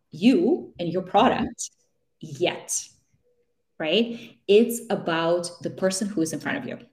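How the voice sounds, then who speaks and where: With lively intonation and a somewhat breathy sound, a woman talks. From Russia. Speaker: career coach. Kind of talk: interview conversation, advice. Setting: live stream video call.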